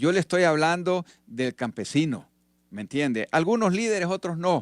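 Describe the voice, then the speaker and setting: In a very clean recording with a silent background and a dry, close sound with no echo, a man speaks at a moderate pace with a high pitch and very wide pitch swings. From Honduras. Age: 60s. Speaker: retired army officer and politician. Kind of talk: radio interview.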